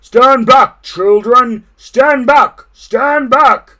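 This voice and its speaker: Shouting at a very slow pace, the speaker uses a high-pitched, put-on character voice. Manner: shouting commands.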